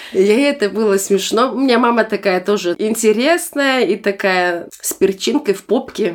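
With lively intonation and hardly any pauses, a woman talks at a moderate pace in a normal speaking voice, pitched fairly high. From Germany, born in Almaty, Kazakhstan. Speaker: guest. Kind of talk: casual chat.

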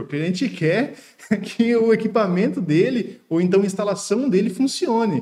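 Speaking high for a man, he shows ordinary variation in pitch. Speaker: podcast host and engineer. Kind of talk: casual interview.

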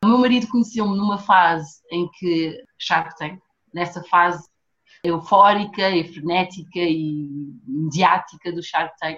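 The delivery comes at a very slow pace. Pitch variation is ordinary. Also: woman, fairly low pitch for a woman. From Portugal, raised from age 4; born São Tomé and Príncipe. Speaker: fashion designer and entrepreneur. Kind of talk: casual chat.

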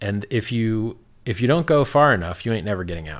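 A man with an American accent talks at a fairly quick pace in a fairly low pitch. It is a plain, everyday voice with lively intonation. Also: very clean recording, silent background. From Miami, Florida. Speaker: cryptocurrency founder. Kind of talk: casual chat.

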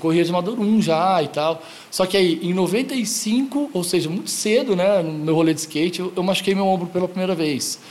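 Over noticeable background noise, a man talks with a high pitch and ordinary pitch variation. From Goiânia, Brazil. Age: 40s. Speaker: skate shop founder. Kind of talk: casual interview.

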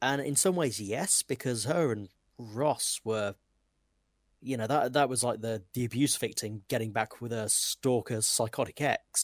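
A man's medium-pitched, ordinary speaking voice with ordinary pitch variation and a fairly slow pace, dry and close with no echo, on a very clean recording with a silent background. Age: 30s. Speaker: podcast co-host. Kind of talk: casual chat. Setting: live stream.

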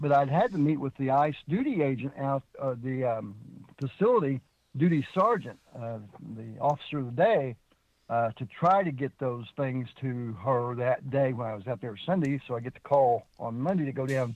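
A moderate pace with ordinary pitch variation. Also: man, medium pitch for a man. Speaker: regular caller. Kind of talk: casual chat. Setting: in a car.

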